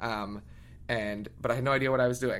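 A medium-pitched man with an American accent at a fairly quick pace, with audible room echo. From Philadelphia area, Pennsylvania, US. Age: 20s. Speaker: singer. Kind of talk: interview. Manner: animated.

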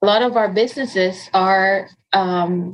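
A woman's voice in a Spanish accent, with ordinary pitch variation. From Dominican Republic. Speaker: nonprofit economic development director. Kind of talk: interview. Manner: hesitant with fillers.

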